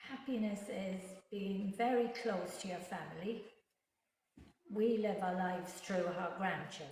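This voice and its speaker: A woman at medium pitch, fairly slow pace with long, frequent pauses, ordinary pitch variation, and audible room echo. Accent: Irish. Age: 70s. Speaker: interviewee, retiree. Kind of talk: interview.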